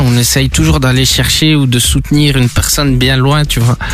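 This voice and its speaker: Noticeable background noise fills the recording. A man's voice carries audible room echo. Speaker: DJ. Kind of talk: radio interview, casual chat. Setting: radio studio.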